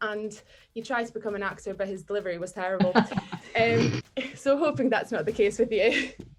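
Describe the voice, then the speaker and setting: A woman's fairly high voice moves at a moderate pace through noticeable background noise. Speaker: talk show host. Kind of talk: casual podcast interview.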